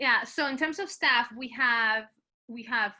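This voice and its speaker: Speaking at a fairly slow pace, a woman with a Spanish accent has a high pitch and ordinary pitch variation. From Colombia. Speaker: choir director. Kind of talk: conference presentation Q&A.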